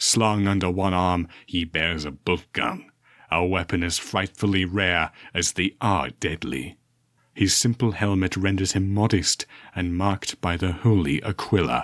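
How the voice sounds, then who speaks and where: A man's put-on character voice, very deep and low in pitch, at a moderate pace on a very clean recording with a silent background. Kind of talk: dark sci-fi horror narration. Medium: read story. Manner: measured, solemn, ominous.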